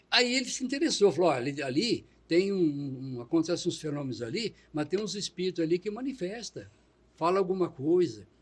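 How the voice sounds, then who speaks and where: A fairly quick pace with very wide pitch swings. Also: man, high pitch for a man. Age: 70s. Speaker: retired public worker and spiritist. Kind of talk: interview. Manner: halting.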